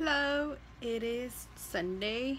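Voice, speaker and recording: Noticeable noise can be heard in the background. A woman is speaking. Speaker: vlogger. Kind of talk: casual vlog chat. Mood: relaxed, chatty. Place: home room. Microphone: phone near.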